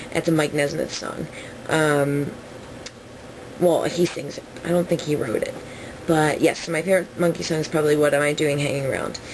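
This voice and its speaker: A woman with an American accent talks at a moderate pace in a very deep, low pitch and monotone, flat intonation, with long, frequent pauses over noticeable background noise. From New Jersey. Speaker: vlogger. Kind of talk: casual Q&A vlog. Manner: rambling with fillers.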